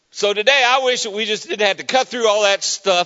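The tone is animated. Pitch variation is ordinary. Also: man. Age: 50s. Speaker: guest preacher. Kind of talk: sermon. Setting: church.

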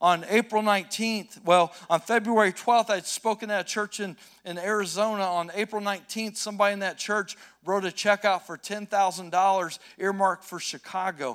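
Recorded very cleanly with a silent background and a dry, close sound with no echo, a man with an American accent speaks at a high pitch with fairly even intonation. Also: moderate pace. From US Midwest, rural Indiana. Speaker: urban missionary. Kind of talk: sermon. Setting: church.

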